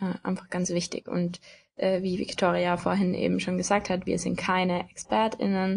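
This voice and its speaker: A somewhat breathy woman at a medium pitch, fairly slow pace and ordinary pitch variation, over a quiet background. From Austria, Tyrol. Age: 20s. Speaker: podcast co-host, student, blogger. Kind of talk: casual chat.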